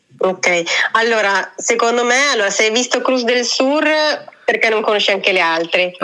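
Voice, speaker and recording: With noticeable background noise behind her, a woman speaks at a moderate pace in a fairly high voice, her loudness very even. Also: ordinary pitch variation. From Italy. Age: 30s. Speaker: travel blogger. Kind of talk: casual interview. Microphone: voice echoes back, sounds metallic.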